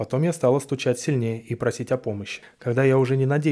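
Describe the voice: Here someone does plain reading aloud.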